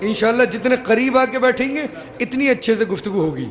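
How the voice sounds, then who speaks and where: The delivery is fairly slow, with lively intonation. Noticeable background noise runs underneath. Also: man. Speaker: Shia cleric giving a Muharram majlis sermon. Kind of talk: sermon. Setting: religious gathering with audience. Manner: formal.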